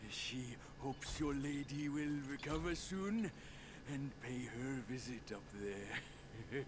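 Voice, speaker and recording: A man speaks in a put-on character voice at a medium pitch. Loud noise fills the background. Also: fairly slow pace. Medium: video game. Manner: blustering, mocking.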